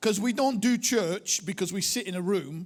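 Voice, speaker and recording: A man speaks with a strong Lancashire accent. His pitch varies in an ordinary way at a moderate pace. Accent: strong northern English (Bolton). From northern England, Bolton area. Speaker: pastor, church movement leader. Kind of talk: sermon. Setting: church with audience.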